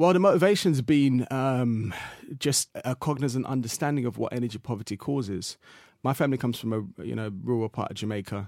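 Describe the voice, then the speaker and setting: Speaking with an English accent, a man moves at a fairly quick pace with lively intonation. The sound is dry and close with no echo, in a very clean recording with a silent background. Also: medium pitch for a man. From England. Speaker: social entrepreneur. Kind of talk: interview. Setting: studio.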